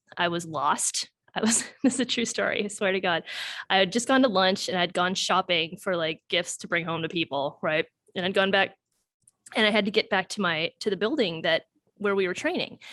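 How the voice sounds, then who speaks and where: Animated and bright with a sharp tone, the speaker has a strong Wisconsin accent and ordinary pitch variation, recorded dry and close with no echo. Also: woman, medium pitch for a woman, fairly quick pace. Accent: Wisconsin accent, thick. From US Midwest, Wisconsin (Sheboygan, Elkhart Lake). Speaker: doctor. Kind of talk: casual chat.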